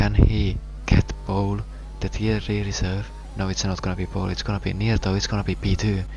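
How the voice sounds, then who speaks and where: A man talks at a fairly quick pace, with noticeable background noise and audible room echo around him. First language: not English. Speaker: sim racing commentator. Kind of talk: live commentary. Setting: live stream.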